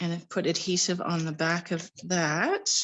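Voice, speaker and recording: A woman with a fairly low pitch speaks over a quiet background. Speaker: card-making crafter. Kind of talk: live-stream tutorial. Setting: live stream from home. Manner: casual.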